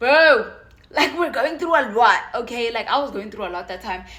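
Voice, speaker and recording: A loud, animated tone with ordinary pitch variation. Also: woman. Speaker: university student YouTuber. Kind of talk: casual vlog advice.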